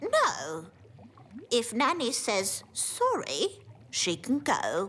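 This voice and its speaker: A cartoonish character voice, fairly high in pitch, creeps along at a very slow pace. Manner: polite, genteel.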